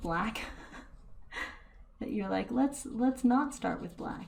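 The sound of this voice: A soft-spoken woman with vocal fry, ordinary pitch variation, and a fairly slow pace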